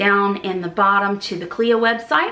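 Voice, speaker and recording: A woman talks with fairly even intonation. Noticeable background noise sits behind her. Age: 40s. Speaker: travel agent and travel vlogger. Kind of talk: casual vlog monologue. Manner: conversational, some hesitations.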